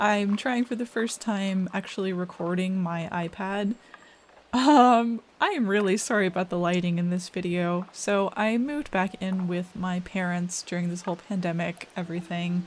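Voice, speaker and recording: At a moderate pace, a woman with an unremarkable speaking voice talks at a medium pitch with ordinary pitch variation. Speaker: digital artist. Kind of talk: casual storytime over speedpaint. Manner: relaxed, chatty.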